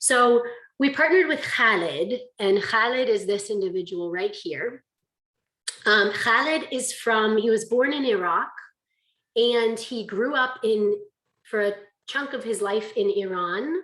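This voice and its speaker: A woman with a fairly high pitch speaks in an animated, bright, sharp tone with lively intonation. She leaves long, frequent pauses. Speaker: conference presenter, language teacher. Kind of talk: conference presentation. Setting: video call. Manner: fast.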